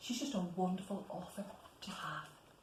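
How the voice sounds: A woman speaks at a moderate pace, her pitch fairly low and varying in an ordinary way. Audible room echo surrounds her voice.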